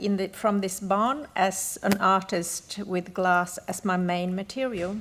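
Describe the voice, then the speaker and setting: A woman at medium pitch with a slight Australian accent, fairly even intonation and a fairly slow pace, on a very clean recording with a silent background. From northern Sweden, Gällivare (Sami). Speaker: glass artist. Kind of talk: conference presentation. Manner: halting, with fillers.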